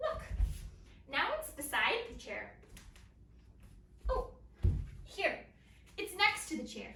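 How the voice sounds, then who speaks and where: The pitch swings very widely. Audible room echo surrounds the voice. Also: woman. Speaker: elementary school teacher. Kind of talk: lesson for young children. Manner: loud; animated. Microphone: far from the camera.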